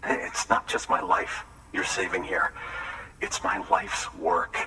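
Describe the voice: Putting on a character voice, a man speaks slowly in a low register with little pitch movement and a bright, sharp tone over faint background noise.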